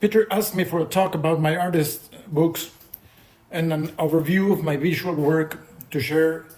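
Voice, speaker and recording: Audible room echo surrounds a man with a Mexican accent who speaks at a moderate pace and a fairly high pitch with ordinary variation. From Mexico, Mexico City. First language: Spanish. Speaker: poet and visual artist. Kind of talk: lecture. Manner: halting, with repetitions.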